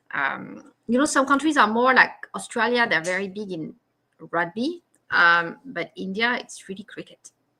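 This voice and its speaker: With a French accent, the speaker talks at a moderate pace in a bright, sharp tone, with very wide pitch swings and big shifts in loudness. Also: woman, fairly high pitch for a woman. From France. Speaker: live stream host. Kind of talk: casual chat. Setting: live video stream.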